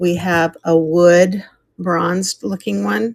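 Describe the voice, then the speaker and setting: Her voice sits at a medium pitch. The recording is dry and close, without any echo. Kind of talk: live sales stream. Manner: animated.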